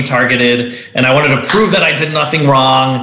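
A man with ordinary pitch variation speaks fairly quickly, his voice carrying audible room echo over noticeable background noise. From Venezuela. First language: Spanish. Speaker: entrepreneur and author. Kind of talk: interview.

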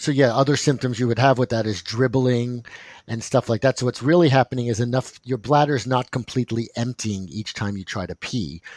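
A man at a medium pitch, fairly quick, with ordinary pitch variation, in a very clean, dry, close recording with a silent background and no echo. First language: not English. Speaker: doctor podcast co-host. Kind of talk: casual medical chat.

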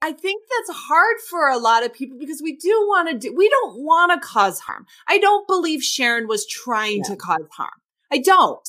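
A woman speaks at a moderate pace in a raised, projected voice with an extremely high pitch. Her tone is bright and sharp, with very wide pitch swings. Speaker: podcast co-host, coach and trainer. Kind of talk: casual chat. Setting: at home.

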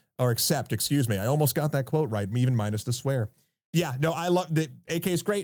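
A man talks at a fairly quick pace with lively intonation and a fairly high pitch. His voice is somewhat breathy, and the recording is very clean with a silent background. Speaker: YouTube narrator and showrunner. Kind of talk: casual interview chat. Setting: studio with nice microphone.

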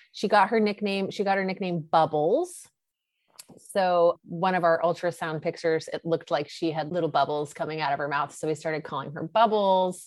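A woman talks in an ordinary speaking voice with ordinary pitch variation. The background is quiet. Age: 40s. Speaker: author and former lawyer. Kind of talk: interview about personal loss.

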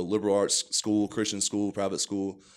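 An American accent at a fairly quick pace in a very clean recording with a silent background. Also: man. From northeast Texas. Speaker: rugby player. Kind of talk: interview.

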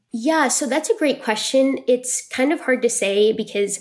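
Speaking at a moderate pace, a woman has a normal speaking voice with ordinary pitch variation. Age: 20s. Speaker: patient advocate. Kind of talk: interview.

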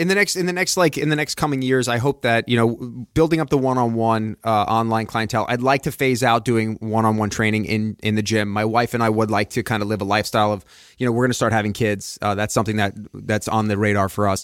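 A man with an American accent speaks very fast at a medium pitch, with ordinary pitch variation, very even loudness and hardly any pauses, on a very clean recording with a silent background. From Long Island, New York. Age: 40s. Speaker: fitness podcaster and trainer, former actor. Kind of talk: casual chat. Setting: studio.

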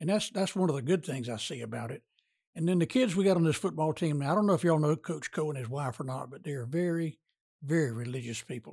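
A man with a Southern US accent at a very fast pace, fairly high-pitched and somewhat breathy, lively intonation, very clean recording with a silent background. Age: 80s+. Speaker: retired pharmacist and sports radio announcer. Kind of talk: casual interview.

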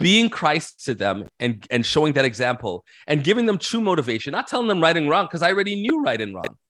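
Delivered at a very fast pace, the voice has vocal fry and very wide pitch swings. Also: man, fairly high pitch for a man. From Canada, Toronto. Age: 40s. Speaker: minister. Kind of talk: casual interview.

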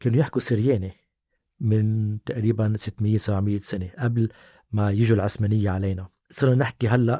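With a Lebanese accent, the voice comes at a fairly slow pace, somewhat breathy with a dark, mellow tone, in a very clean recording with a silent background and dry, close sound with no echo. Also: man. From Lebanon. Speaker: language activist, association founder. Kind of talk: casual chat.

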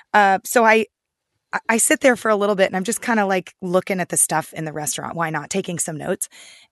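Over a quiet background, a woman talks at a very fast pace in a medium pitch with ordinary pitch variation. The sound is dry and close, with no echo. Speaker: food reporter. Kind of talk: casual chat and interview.

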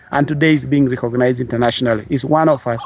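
A man is heard over noticeable background noise. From northern Uganda, Lira district. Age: 30s. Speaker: peace activist, NGO founder. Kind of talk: interview.

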